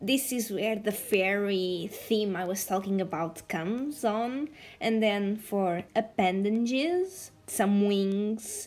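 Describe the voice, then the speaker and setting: A woman with a non-native accent speaks at a medium pitch and very slow pace, with ordinary pitch variation. She takes hardly any pauses. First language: not English. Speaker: art content creator. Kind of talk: tutorial. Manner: casual, halting.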